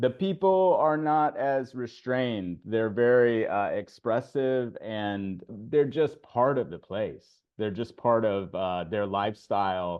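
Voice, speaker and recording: Speaking very slowly, a man uses lively intonation at a medium pitch. He has a slight Southern US accent. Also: hardly any pauses. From US South, Nashville. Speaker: English teacher and blogger. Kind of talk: casual chat.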